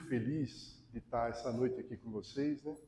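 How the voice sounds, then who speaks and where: A man speaks here. His tone is dark and mellow, and somewhat breathy. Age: 60s. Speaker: lecturer on alcoholism, volunteer. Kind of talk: public talk to an audience. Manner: casual, conversational.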